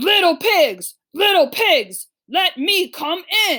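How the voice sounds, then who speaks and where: A woman growls in a put-on character voice at an extremely high pitch. She drags her words out at a very slow pace. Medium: read story. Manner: menacing.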